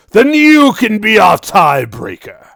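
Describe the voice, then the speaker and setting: A man puts on a loud, high-pitched character voice and speaks at a fairly slow pace. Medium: actual play. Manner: commanding.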